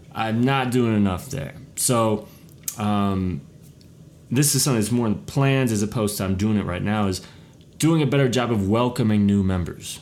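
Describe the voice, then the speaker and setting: A man at a moderate pace and fairly low pitch, with ordinary pitch variation and audible room echo. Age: 40s. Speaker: podcast host and social media consultant. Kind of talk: casual solo podcast monologue.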